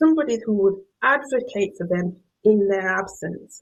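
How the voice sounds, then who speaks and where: In a Yorkshire accent, a woman talks at a medium pitch. Her voice sounds somewhat breathy. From northern England, Yorkshire. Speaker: professor. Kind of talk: lecture.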